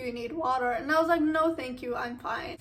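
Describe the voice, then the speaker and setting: With noticeable background noise in the mix, a high-pitched woman speaks fairly quickly, her pitch varying in an ordinary way. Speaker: YouTuber sharing personal stories. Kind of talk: casual story time.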